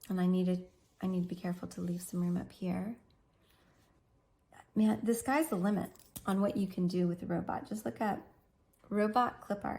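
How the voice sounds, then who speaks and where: At medium pitch and a moderate pace, a woman speaks with a dark, mellow tone and a somewhat breathy quality. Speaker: art teacher. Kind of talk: tutorial.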